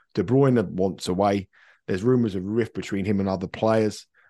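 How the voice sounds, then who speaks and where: At a moderate pace, a man with a British accent speaks in a fairly low voice with a dark, mellow tone and fairly even intonation. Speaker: football betting pundit. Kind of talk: casual chat. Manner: halting.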